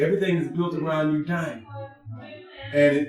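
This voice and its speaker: A man talks at a fairly high pitch, and audible room echo follows his voice. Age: 60s. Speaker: vegan restaurant crew member. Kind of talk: casual podcast chat.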